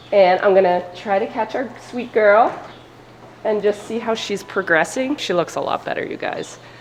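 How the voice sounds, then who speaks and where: At a medium pitch with ordinary pitch variation, a woman talks at a moderate pace. Noticeable background noise runs underneath. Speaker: sheep farmer and vlogger. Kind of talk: casual vlog talk. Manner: gets loud when excited.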